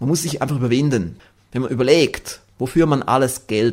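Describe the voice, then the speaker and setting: With some vocal fry, a man speaks at a moderate pace in a medium pitch, his pitch varying in an ordinary way. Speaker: podcast host and success seminar trainer. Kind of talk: scripted podcast monologue. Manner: formal. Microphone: good microphone with pop filter.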